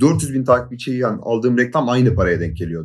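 Using a normal speaking voice, a man with a medium pitch speaks with lively intonation. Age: 20s. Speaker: YouTube content creator. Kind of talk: casual chat.

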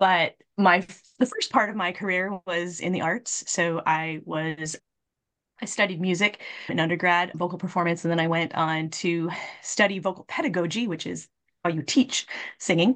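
Someone with an American accent talks at a moderate pace in a normal speaking voice. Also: woman, fairly low pitch for a woman, fairly even intonation. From Minnesota. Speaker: revenue management consultant. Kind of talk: casual interview.

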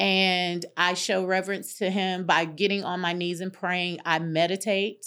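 A woman's medium-pitched voice in a Southern US accent, bright and sharp in tone, monotone and flat, at a fairly slow pace with hardly any pauses, on a very clean recording with a silent background. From North Carolina. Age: 50s. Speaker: interior designer and life coach. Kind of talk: casual interview. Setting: studio.

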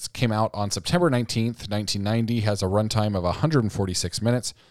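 A man with a fairly low voice and ordinary pitch variation, an unremarkable speaking voice. The recording is very clean and dry, close with no echo, over a silent background. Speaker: podcast co-host. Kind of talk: casual banter.

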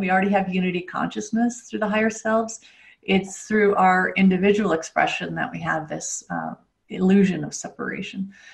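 A woman speaks fairly quickly in a medium pitch, her intonation fairly even. Her voice is somewhat breathy. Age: 50s. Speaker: spiritual coach and author. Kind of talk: interview. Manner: hesitant, with filler words.

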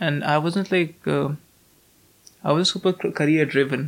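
A man with an Indian accent and a fairly high pitch. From North India. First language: Hindi. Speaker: university student. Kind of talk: casual interview.

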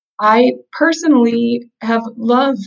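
A woman's fairly high-pitched voice, an unremarkable speaking voice, with ordinary pitch variation. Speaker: pianist, singer and business coach. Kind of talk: casual interview.

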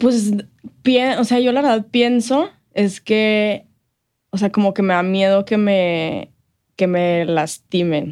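A woman speaks very slowly at medium pitch, keeping her loudness very even and her pitch variation ordinary, with long, frequent pauses. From El Paso, Texas (US–Mexico border). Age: 20s. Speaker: health coach and marketing professional. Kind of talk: interview. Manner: casual, hesitant with repetitions and fillers.

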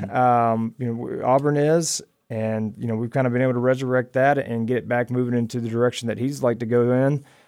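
Speaking at a fairly quick pace with hardly any pauses, a man with an American accent keeps a medium pitch and monotone, flat intonation. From US South, Alabama and Georgia. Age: 30s. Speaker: military veteran and student. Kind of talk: casual interview.

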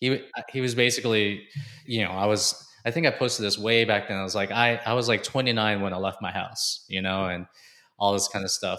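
A man with an ordinary speaking voice, fairly low in pitch and fairly even in intonation. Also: fairly quick pace. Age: 40s. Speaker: fitness coach and entrepreneur. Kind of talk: interview. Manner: casual, filler-heavy.

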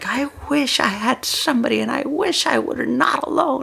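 A put-on character voice with a high pitch moves at a moderate pace over clear background noise. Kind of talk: exaggerated imitation. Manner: mopey, wistful.

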